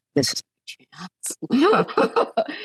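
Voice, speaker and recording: A woman speaks with vocal fry in a dry, close recording that has no echo. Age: 60s. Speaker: author. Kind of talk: casual chat.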